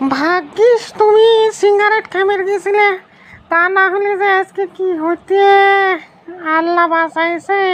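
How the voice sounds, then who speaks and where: In a cartoonish character voice, a woman talks at a fairly slow pace with extremely high pitch and fairly even intonation. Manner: shrill, nagging.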